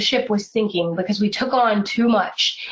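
A woman with a plain, everyday voice speaks at a moderate pace, her medium pitch carrying fairly even intonation. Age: 30s. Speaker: pro-life activist, head of a feminist organization. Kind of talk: casual interview chat.

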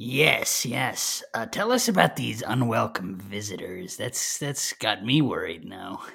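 Using a put-on character voice, a man sounds raspy at a medium pitch. He goes at a fairly slow pace. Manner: breezy, wisecracking, bossy.

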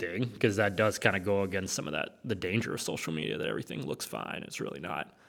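This is an unremarkable speaking voice at a fairly quick pace. The recording is very clean, with a silent background. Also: man. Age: 30s. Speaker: associate pastor. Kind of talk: casual chat.

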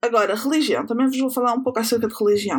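A woman with a European Portuguese accent and ordinary pitch variation. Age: 20s. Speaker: podcast host. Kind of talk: personal monologue.

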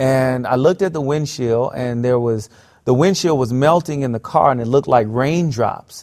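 An unremarkable speaking voice moves at a moderate pace with ordinary pitch variation. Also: man, medium pitch for a man. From US South, South Florida. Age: 30s. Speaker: pastor. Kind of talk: interview storytelling.

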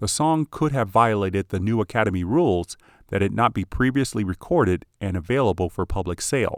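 In a plain, everyday voice, a man talks at a fairly quick pace with fairly low pitch and lively intonation, captured as a very clean recording with a silent background and a dry, close sound with no echo. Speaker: podcast host. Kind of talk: scripted narration of film music history, read in an even, informative tone. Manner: formal; measured, informative.

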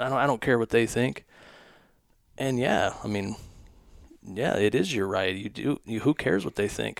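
A man's fairly low, vocal-fry voice in an American accent, at a moderate pace with ordinary pitch variation and long, frequent pauses, on a very clean recording with a silent background. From US West Coast. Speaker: hunting content creator. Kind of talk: casual chat. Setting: studio.

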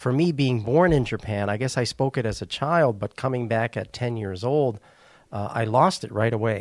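The speech comes in a slight Wisconsin accent at a moderate pace, with ordinary pitch variation. It is a very clean recording with a silent background. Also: man, medium pitch for a man. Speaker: missionary. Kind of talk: casual interview.

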